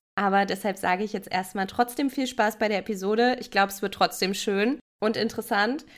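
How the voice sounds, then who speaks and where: With an unremarkable speaking voice, a woman talks at a fairly quick pace and fairly high pitch, her intonation fairly even but her loudness swinging widely. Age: 20s. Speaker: podcast co-host, criminology. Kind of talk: casual chat.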